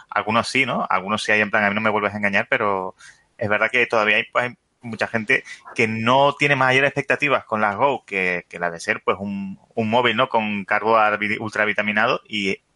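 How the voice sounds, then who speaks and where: The speaker has a Canarian accent and fairly even intonation. The pace is moderate, and the sound is dry and close with no echo. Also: man, fairly low pitch for a man. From Canary Islands, Spain. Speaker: podcast guest. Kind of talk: casual tech discussion.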